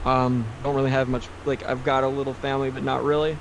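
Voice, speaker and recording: A medium-pitched man in an American accent, with noticeable background noise. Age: 30s. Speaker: podcast guest. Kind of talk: casual chat.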